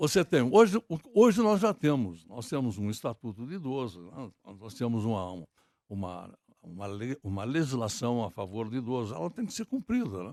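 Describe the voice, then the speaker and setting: A man with a medium-pitched voice speaks at a moderate pace, making very wide pitch swings and big swings in loudness. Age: 70s. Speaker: presidential candidate. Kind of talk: political interview.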